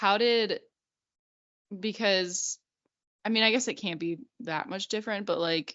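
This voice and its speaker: An American-accented woman talks at a moderate pace. Her pitch is medium, with ordinary variation. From Illinois, US. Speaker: podcast co-host. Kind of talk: casual chat.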